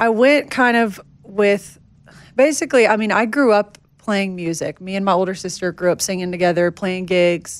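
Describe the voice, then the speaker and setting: The speaker talks at a moderate pace in a Tennessee accent. Pitch varies in an ordinary way. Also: woman, medium pitch for a woman. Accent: Southern, Tennessee. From Nashville, Tennessee. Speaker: country singer-songwriter. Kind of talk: podcast interview.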